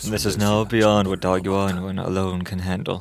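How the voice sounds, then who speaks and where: A man puts on a character voice with a very deep, low pitch and a strained sound, at a moderate pace. Music plays in the background. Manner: strained, hard to hold.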